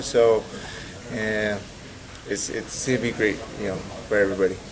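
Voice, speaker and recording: Very fast male speech against noticeable background noise. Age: 30s. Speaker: professional boxer. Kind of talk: press interview. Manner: hesitant, many repetitions.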